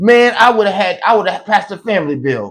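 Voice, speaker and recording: A man with a high pitch and an animated tone. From New York. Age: 40s. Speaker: political commentator and self-published author. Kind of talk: casual rant; sales pitch.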